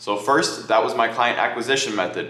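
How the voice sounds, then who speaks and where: Very fast speech with fairly even intonation, plus audible room echo and noticeable background noise. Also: man. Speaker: content agency owner. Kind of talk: talking-head business advice video.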